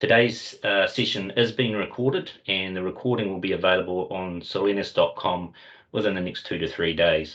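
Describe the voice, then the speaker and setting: A man speaks with a New Zealand accent. His pace is fairly quick. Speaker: company representative hosting webinar. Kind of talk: webinar presentation. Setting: online video meeting. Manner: hesitant with fillers.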